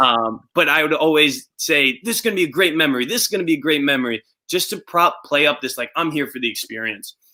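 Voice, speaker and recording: A man with a Long Island accent talks very fast with hardly any pauses. His tone is bright and sharp. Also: fairly high pitch for a man, lively intonation. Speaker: reality show winner. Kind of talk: casual chat.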